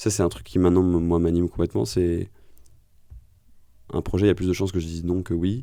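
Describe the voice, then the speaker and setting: Very deep and low in pitch with a dark, mellow tone, a man speaks at a very fast pace broken by long, frequent pauses. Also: ordinary pitch variation. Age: 30s. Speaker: podcast host and founder, former tax lawyer. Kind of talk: interview conversation.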